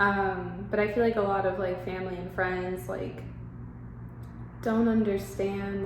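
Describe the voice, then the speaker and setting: A woman is speaking. Her voice carries audible room echo, and noticeable background noise can be heard. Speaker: vlogger. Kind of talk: personal vlog confession. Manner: halting; hesitant, filler-heavy.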